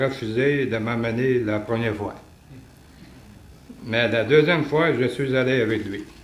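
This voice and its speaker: With a Quebec accent, a man speaks fairly slowly at a medium pitch, his pitch rising and falling in an ordinary way. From Quebec City, Canada. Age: 70s. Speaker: retiree. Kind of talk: religious testimony talk.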